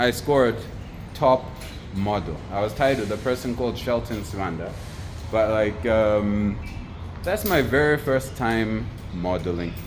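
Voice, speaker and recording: Speech comes at a fairly slow pace with long, frequent pauses and ordinary pitch variation. Room echo is audible, and music plays in the background. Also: man, fairly low pitch for a man. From Zimbabwe. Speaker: photographer and entrepreneur. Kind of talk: motivational monologue. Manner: talkative, casual with fillers.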